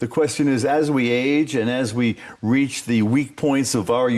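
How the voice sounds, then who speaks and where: With an American accent, a man in an unremarkable speaking voice talks at a fairly slow pace with ordinary pitch variation. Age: 60s. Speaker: scientist. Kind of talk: TV interview.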